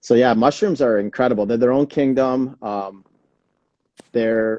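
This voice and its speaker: A man has a dark, mellow tone and fairly even intonation. He speaks at a fairly slow pace. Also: medium pitch for a man. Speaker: wellness show host. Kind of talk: casual live stream chat. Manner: louder to speak over alarm.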